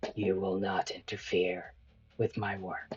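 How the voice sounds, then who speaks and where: Put-on character voice from a man, fairly low in pitch and fairly slow in pace. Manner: cold, menacing.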